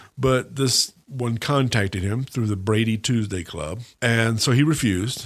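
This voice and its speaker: A normal speaking voice from a man with an American accent, medium pitch and ordinary pitch variation, on a very clean recording with a silent background. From US South, Mississippi Gulf Coast. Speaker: history professor. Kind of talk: interview.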